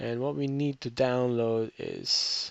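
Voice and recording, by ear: Speaking at a very slow pace with vocal fry, the voice has a clear, smooth tone that is fairly bright. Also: man.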